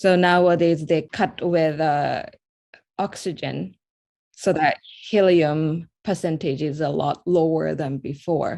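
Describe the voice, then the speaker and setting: A dark, mellow voice with a Japanese accent, very slow pace and fairly even intonation, over a quiet background. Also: woman, very deep, low pitch for a woman. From Japan, Osaka. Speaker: artist. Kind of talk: interview. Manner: halting.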